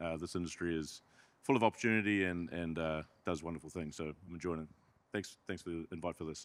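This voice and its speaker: A man's very deep, low voice, very fast, with fairly even intonation and a New Zealand accent. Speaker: company executive. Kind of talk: panel introduction. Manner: hesitant, many fillers.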